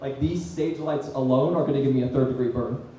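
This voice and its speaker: Amid noticeable background noise and audible room echo, a man with a fairly high pitch talks at a fairly quick pace. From Australia. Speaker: comedian. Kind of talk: stand-up. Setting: stage with audience.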